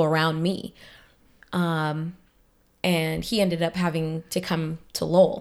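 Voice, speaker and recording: A woman with an American accent, fairly low pitch, fairly even intonation and a very slow pace, on a very clean recording with a silent background. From Boston (Roxbury). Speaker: nonprofit youth coordinator. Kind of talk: interview conversation.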